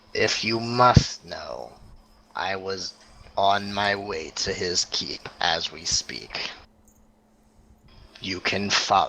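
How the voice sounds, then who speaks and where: A raspy, put-on character voice moves at a very slow pace. Long pauses come often. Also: man, fairly low pitch for a man. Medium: actual play. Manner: haughty, contemptuous.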